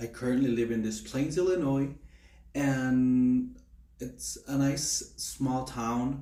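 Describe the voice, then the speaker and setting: A man speaks very slowly in a Spanish accent, his medium-pitched voice dark and mellow. Room echo is audible. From Mexico, Durango. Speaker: nursing student. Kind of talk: class self-introduction. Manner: halting, many fillers.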